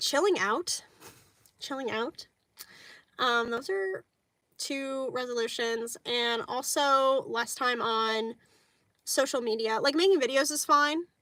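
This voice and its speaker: A woman with a bright, sharp, high voice projects loudly at a very slow pace. She uses long, frequent pauses and ordinary pitch variation. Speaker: vlogger. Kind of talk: casual chat.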